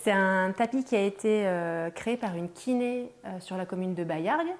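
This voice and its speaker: Soft-spoken and very slow, a woman talks at a medium pitch with ordinary pitch variation. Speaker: early childhood educator and company co-founder. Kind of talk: interview and guided tour. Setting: inside a nursery.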